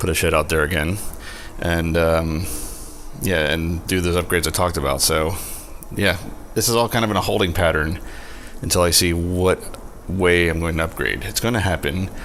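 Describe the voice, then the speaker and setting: Quiet and very even in loudness, a man speaks at a moderate pace with a very deep, low pitch and fairly even intonation, leaving long, frequent pauses amid noticeable background noise and audible room echo. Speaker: home brewer, video host. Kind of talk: tutorial. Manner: quiet, low volume.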